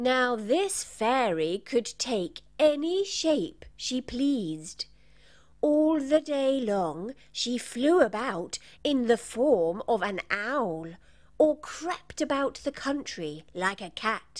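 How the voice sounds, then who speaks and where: Very slow and high-pitched, a female-sounding put-on character voice comes through on a very clean recording with a silent background. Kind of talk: bedtime story. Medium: read story.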